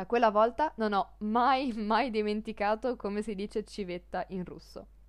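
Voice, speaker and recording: A woman with a plain, everyday voice, fairly high pitch, ordinary pitch variation and big swings in loudness, at a fairly slow pace with hardly any pauses, over a quiet background. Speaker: language teacher podcaster. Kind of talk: podcast monologue, language lesson.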